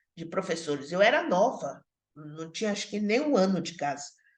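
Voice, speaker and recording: Audible room echo around a fairly slow pace and lively intonation. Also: woman. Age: 60s. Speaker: social work professor. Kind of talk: online lecture. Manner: halting, with many fillers and repetitions.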